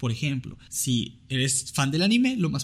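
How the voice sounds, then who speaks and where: A man's voice sounds somewhat breathy. It sits at a fairly high pitch. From Venezuela. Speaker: podcast host. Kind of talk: casual chat. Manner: animated.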